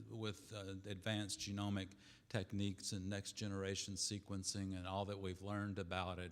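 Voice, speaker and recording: A man with a Southern US accent speaks at a fairly low pitch. His pace is moderate and his intonation monotone and flat. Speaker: pediatrics department chairman. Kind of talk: welcome speech.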